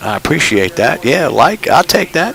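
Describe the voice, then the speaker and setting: A man speaks at a moderate pace in a strong New York accent. There is noticeable background noise. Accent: New York accent, still strong. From New York City (Brooklyn). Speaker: flight sim streamer. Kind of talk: live stream commentary with checklist callouts. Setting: home cockpit simulator, live stream. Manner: casual, conversational.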